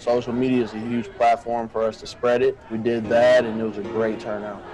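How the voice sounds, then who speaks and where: Over noticeable background noise, a speaker with an American accent talks at a fairly quick pace in a monotone, flat intonation. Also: man, medium pitch for a man. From Illinois, Peoria. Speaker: college football player. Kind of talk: interview. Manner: casual.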